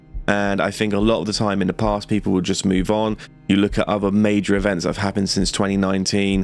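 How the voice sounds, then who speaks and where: A man's fairly low voice, very fast and flat in a monotone, with music in the background. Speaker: YouTuber commentator. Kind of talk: casual commentary.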